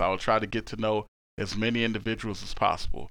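The man's tone is bright and sharp, and the background is quiet. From Miami, Florida (born in Haiti). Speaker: Marine career recruiter. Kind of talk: casual panel discussion.

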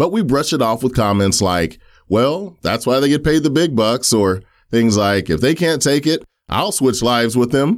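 A man talks in a normal speaking voice at a moderate pace with lively intonation. His loudness stays very even on a very clean recording with a silent background. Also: medium pitch for a man. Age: 40s. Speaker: podcast host. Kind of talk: solo monologue commentary.

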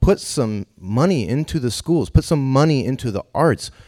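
With an American accent and a dark, mellow tone, a man speaks in lively intonation on a very clean, dry, close recording with no echo and a silent background. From Northern California (Davis). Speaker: jazz musician and band leader. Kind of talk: panel discussion.

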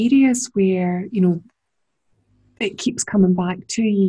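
A woman at a medium pitch, somewhat breathy, with a dark, mellow tone and ordinary pitch variation. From Scotland. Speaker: podcast host. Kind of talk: casual interview chat.

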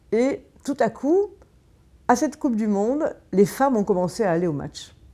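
A woman's dark, mellow voice swings very widely in pitch. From southern France, Marseille. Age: 50s. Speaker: feminist activist. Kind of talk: interview. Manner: halting, frequent repetitions.

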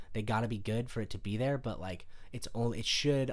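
This man has an unremarkable speaking voice, a medium pitch with ordinary variation, and a moderate pace. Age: 20s. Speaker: comedian and musician. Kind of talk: casual chat.

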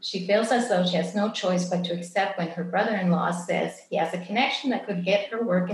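The text is read aloud in a natural voice.

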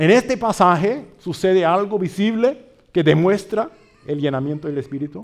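A man's high-pitched, lively voice with a slight Brazilian accent. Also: moderate pace. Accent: slightly Brazilian-tinged Spanish. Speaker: pastor and missionary. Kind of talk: sermon. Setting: church.

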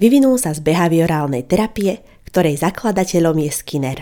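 A woman with an unremarkable speaking voice, a fairly low pitch and lively intonation. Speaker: psychology podcaster and counsellor. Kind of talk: educational monologue. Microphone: good quality microphone.

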